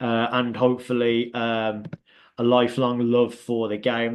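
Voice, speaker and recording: A man with a Birmingham accent speaks against a quiet background. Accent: Birmingham (Brummie), noticeable. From England, Birmingham. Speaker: youth soccer league founder and coach. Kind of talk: informational presentation on a Zoom call. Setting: video call. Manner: hesitant, many fillers.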